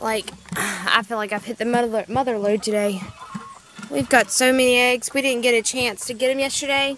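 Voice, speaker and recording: Music plays in the background as a woman with a high pitch talks at a moderate pace with ordinary pitch variation, the sound dry with no echo. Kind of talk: casual vlog chat. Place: garden. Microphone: phone near.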